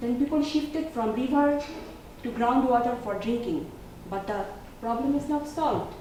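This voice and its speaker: There is noticeable background noise and audible room echo as a woman speaks at a high pitch and a moderate pace. She uses ordinary pitch variation and takes long, frequent pauses. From Bangladesh. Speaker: graduate student. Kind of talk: class presentation.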